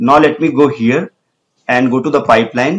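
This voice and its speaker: At a moderate pace, a man with an Indian accent speaks in a fairly high voice with ordinary pitch variation. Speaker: tech tutorial presenter. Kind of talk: tutorial.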